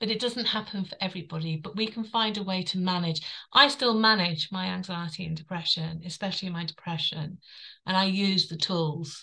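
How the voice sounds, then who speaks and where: In a very clean recording with a silent background, a woman with a London accent speaks at a moderate pace in a bright, sharp tone, her fairly low pitch showing ordinary variation. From London, England. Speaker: author and wellbeing coach. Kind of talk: interview.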